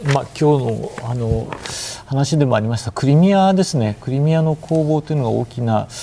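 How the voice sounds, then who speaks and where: The man has an ordinary speaking voice, fairly high in pitch. He talks at a moderate pace. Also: ordinary pitch variation. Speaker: newspaper editorial writer, former Moscow correspondent. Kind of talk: TV news panel discussion.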